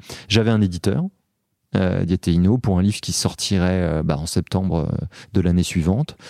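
The voice has a dark, mellow tone and moves at a fairly slow pace with long, frequent pauses, on a very clean recording with a silent background. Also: man, very deep, low pitch for a man, ordinary pitch variation. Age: 40s. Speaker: entrepreneur and author. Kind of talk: interview.

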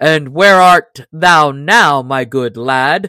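A woman speaks slowly in a put-on character voice, low-pitched for a woman, with a bright, sharp tone, ordinary pitch variation and a dry, close sound with no echo.

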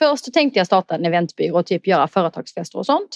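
A woman talks at a very fast pace with very wide pitch swings, and the sound is dry and close with no echo. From southern Sweden (Skåne, Eslöv). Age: 30s. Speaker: wedding coordinator. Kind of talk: casual interview chat.

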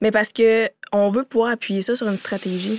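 The voice has fairly even intonation and a dry, close sound with no echo. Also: woman. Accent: Quebec. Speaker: company co-founder and CEO. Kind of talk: interview, casual conversation.

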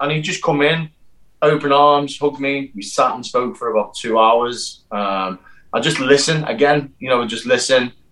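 A man's fairly high voice with a British accent and ordinary pitch variation. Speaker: actor and stunt performer. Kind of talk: casual interview chat.

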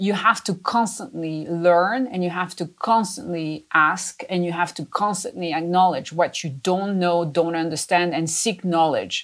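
Speaking with a French accent and ordinary pitch variation, a woman talks with hardly any pauses. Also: fairly low pitch for a woman, fairly slow pace. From France. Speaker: company chief executive. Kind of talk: interview.

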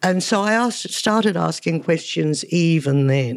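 A woman with an Australian accent and a fairly low pitch. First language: Hungarian. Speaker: photographer. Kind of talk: interview. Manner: animated.

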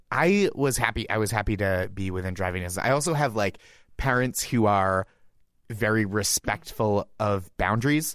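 Against a silent background in a very clean recording, a plain, everyday voice with an American accent moves at a moderate pace with ordinary pitch variation. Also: man, fairly low pitch for a man. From Massachusetts, US. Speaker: comedian. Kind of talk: casual chat.

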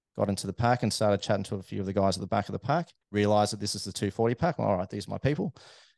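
A man with an Australian accent speaks at a fairly low pitch with fairly even intonation. The sound is dry and close with no echo, and the background is quiet. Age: 30s. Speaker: amateur runner, aerospace engineer. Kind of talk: casual interview chat. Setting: studio.

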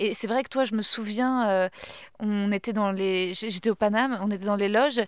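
At a moderate pace, a woman with a plain, everyday voice and medium pitch speaks with fairly even intonation on a very clean recording with a silent background. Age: 30s. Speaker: podcast host and comedian. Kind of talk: casual chat.

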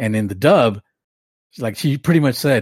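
A plain, everyday voice from a man at a moderate pace, very cleanly recorded against a silent background, dry and close with no echo. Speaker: podcast co-host.

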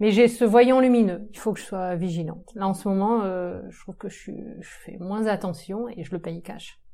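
A woman's dark, mellow tone at a moderate pace, with big swings in loudness and hardly any pauses. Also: medium pitch for a woman, ordinary pitch variation. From Brittany, France (Saint-Brieuc, Côtes d'Armor). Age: 40s. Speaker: urban agriculture entrepreneur. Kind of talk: casual interview. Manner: hesitant, many fillers.

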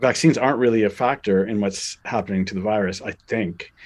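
Very fast speech comes from a man. His voice sits at a fairly low pitch. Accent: Canadian. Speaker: documentary director and laughter expert. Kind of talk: interview. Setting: remote call. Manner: halting.

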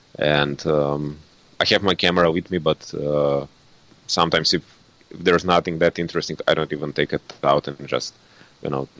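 A speaker with a Slovene accent talks at a moderate pace in a monotone, flat intonation. The sound is dry and close, with no echo. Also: man. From Slovenia. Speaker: landscape photographer and photo tour guide. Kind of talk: casual interview. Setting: remote call. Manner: halting, with many fillers.

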